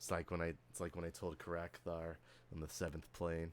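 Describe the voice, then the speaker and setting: A man puts on a raspy character voice pitched very deep and low, talking at a fairly quick pace over clear background noise. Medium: actual play. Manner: relaxed, slangy, easygoing.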